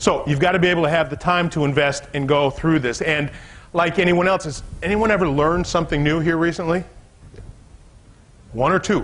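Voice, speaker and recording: At a fairly quick pace, a man with a fairly high pitch speaks with ordinary pitch variation and long, frequent pauses. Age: 60s. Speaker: business coach. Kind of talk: seminar talk to a live audience. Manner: conversational, some false starts.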